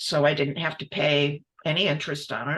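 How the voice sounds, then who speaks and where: A woman speaks at a fairly slow pace in a bright, sharp tone with vocal fry. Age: 70s. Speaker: multidisciplinary textile artist; guest. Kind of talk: interview conversation. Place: workshop.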